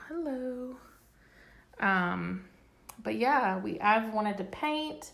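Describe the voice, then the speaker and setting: A woman speaks at a medium pitch, pausing often and at length. Room echo is audible. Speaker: home decor blogger. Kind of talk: casual home tour video. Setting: at home. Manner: casual, chatty; quieter to avoid waking child.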